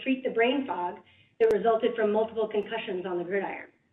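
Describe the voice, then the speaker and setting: Here a woman speaks with an American accent. Her voice sits fairly high. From North Carolina, US South. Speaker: professor. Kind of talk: lecture; reading aloud. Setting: library lecture hall with audience. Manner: loud; halting, many fillers.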